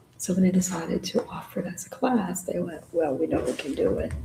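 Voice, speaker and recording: A woman with an American accent talks at a fairly quick pace. Noticeable background noise runs underneath. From North Carolina, Orange County. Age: 70s. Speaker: poet and workshop leader. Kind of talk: casual chat.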